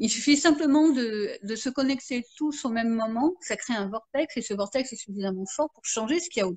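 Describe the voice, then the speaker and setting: In a dry, close sound with no echo, a woman with a high pitch speaks at a moderate pace. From France. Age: 50s. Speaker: marketing consultant and therapist. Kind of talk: interview. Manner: halting, many fillers.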